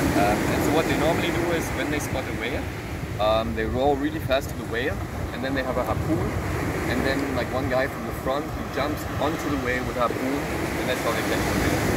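A man speaks at a fairly quick pace amid loud background noise. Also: ordinary pitch variation. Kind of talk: casual vlog chat. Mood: relaxed, animated storytelling. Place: beach. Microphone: phone near.

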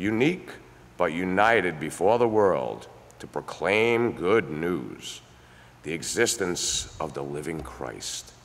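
Very wide pitch swings and vocal fry mark this voice, which moves at a fairly slow pace. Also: man. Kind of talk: prayer. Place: church.

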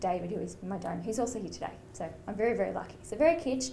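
Over light background noise, a woman talks at a very fast pace. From Australia. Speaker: donor-conceived person speaker, mental health worker. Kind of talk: testimony; tearful personal testimony, voice breaking over shame. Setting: stage with audience. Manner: emotional, halting, raw and wavering. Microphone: podium.

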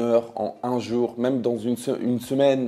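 This man has a dark, mellow tone and a medium pitch. He talks at a moderate pace. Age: 20s. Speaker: reality TV personality and YouTuber. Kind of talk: personal vlog confession. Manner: halting, many hesitations.

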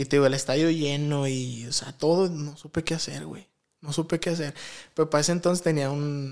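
A man talks at a fairly quick pace with fairly high pitch. His intonation is fairly even, against a quiet background. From Guadalajara, Mexico. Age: 20s. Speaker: professional footballer; podcast guest. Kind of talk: casual interview, life story. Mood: reflective, personal storytelling. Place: studio. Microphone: studio mic.

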